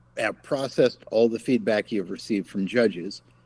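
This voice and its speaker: Speaking with a normal speaking voice, a man has a fairly low pitch and ordinary pitch variation. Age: 50s. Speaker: game company founder. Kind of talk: casual chat.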